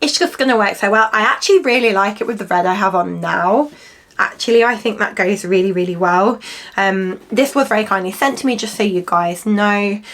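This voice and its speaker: A woman talks at a fairly quick pace in an English accent. Her pitch varies in an ordinary way. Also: medium pitch for a woman. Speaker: fashion youtuber. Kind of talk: casual haul try-on chat. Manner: chatty, with frequent fillers.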